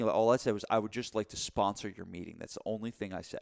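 This man has a plain, everyday voice, fairly low in pitch, with fairly even intonation and a fairly quick pace. The sound is dry and close, with no echo. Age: 40s. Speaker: gym owner and podcast co-host. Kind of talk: casual chat.

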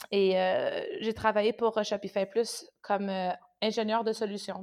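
A woman with a Canadian French accent speaks at medium pitch in a monotone, flat intonation. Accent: Canadian French accent, noticeable. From Canada. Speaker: tech company partner manager. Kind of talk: interview.

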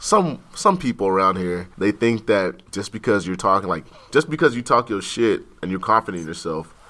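Speaking at a moderate pace with an American accent, a man uses a bright, sharp tone, fairly low pitch and lively intonation. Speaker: college student. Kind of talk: casual chat.

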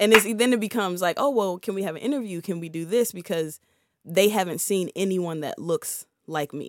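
A normal speaking voice, with an American accent and ordinary pitch variation. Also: woman, medium pitch for a woman, fairly quick pace, very clean recording, silent background. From Prince George's County, Maryland. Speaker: investor and music label owner. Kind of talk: casual interview. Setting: studio.

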